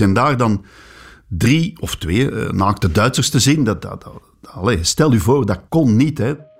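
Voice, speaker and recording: With a Flemish accent, a man speaks at a moderate pace and medium pitch, somewhat breathy, with very wide pitch swings on a very clean recording over a silent background. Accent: Flemish Dutch. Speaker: sports journalist. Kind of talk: interview recollection, casual.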